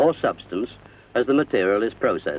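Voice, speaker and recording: At a fairly quick pace, a man speaks with lively intonation and vocal fry. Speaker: narrator. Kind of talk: corporate narration.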